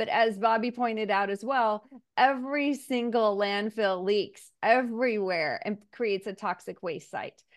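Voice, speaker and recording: A woman's plain, everyday voice, fairly high-pitched with ordinary pitch variation, in an American accent, at a fairly slow pace with hardly any pauses. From Missouri, US Midwest. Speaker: state senate candidate. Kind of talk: interview.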